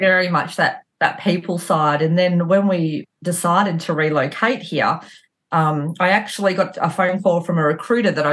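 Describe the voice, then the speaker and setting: A woman with an Australian accent, fairly low-pitched, at a moderate pace with ordinary pitch variation, over a quiet background. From Australia, rural central Victoria. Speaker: mortgage broker, business owner. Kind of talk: casual interview.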